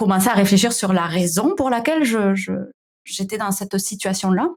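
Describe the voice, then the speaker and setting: A woman with a slight southern French accent, medium pitch, ordinary pitch variation and a fairly slow pace. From southern France. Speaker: founder of a digital wellbeing company. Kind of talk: podcast interview. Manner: hesitant, many fillers.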